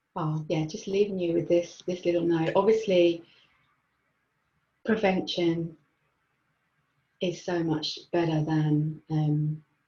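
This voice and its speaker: A woman speaks in a calm tone at a very slow pace, her voice somewhat breathy, dark and mellow at fairly low pitch. Her intonation is fairly even, with long, frequent pauses. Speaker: mental health and mindfulness trainer. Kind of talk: webinar presentation. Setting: online webinar.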